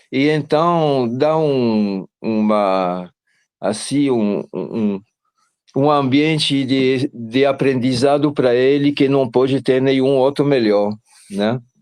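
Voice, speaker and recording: Delivered at a very slow pace, the speech carries ordinary pitch variation. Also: man, very even loudness. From Belgium. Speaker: parent of a student. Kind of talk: testimony. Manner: halting.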